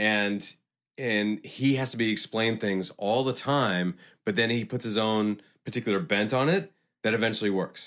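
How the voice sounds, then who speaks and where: A man with a plain, everyday voice, medium pitch, ordinary pitch variation, very even loudness and a moderate pace, on a very clean recording with a silent background. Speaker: gym owner. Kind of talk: casual chat.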